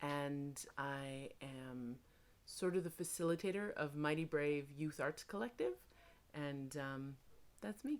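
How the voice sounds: Her pitch low and her intonation lively, a woman speaks at a slow pace.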